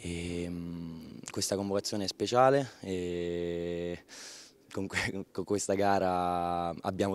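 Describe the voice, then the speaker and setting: Very deep, low male pitch with fairly even intonation, a man in a dry sound with no echo. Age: 20s. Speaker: fencer. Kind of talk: post-competition interview. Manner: halting, with many repetitions. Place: hall. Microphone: handheld.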